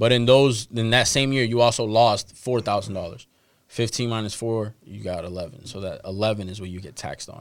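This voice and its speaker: In a plain, everyday voice, a man speaks at a fairly quick pace and medium pitch, keeping fairly even intonation amid big swings in loudness. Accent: American. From Boston, Dorchester. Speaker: stock advising business owner. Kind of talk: casual interview.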